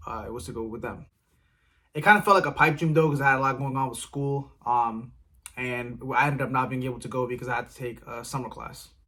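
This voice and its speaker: A man with an American accent talks at a very fast pace and medium pitch. His tone is bright and sharp, with ordinary pitch variation and big swings in loudness. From Silver Spring, Maryland, USA. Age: 20s. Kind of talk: casual vlog talk to camera.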